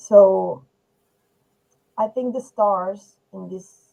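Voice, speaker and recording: A woman speaks with a Spanish accent. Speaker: poet. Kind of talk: poetry discussion. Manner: halting.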